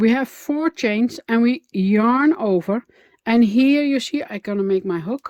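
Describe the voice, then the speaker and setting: Speaking with a Dutch accent, a woman talks at a fairly slow pace with lively intonation, the sound dry and close with no echo. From Netherlands. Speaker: crochet instructor. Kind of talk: tutorial. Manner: halting, many fillers.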